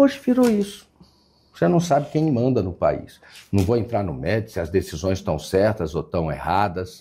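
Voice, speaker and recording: A man's fairly low voice, dark and mellow in tone, somewhat breathy. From Brasília, Brazil. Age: 60s. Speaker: state government secretary. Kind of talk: interview. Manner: hesitant, repeats words.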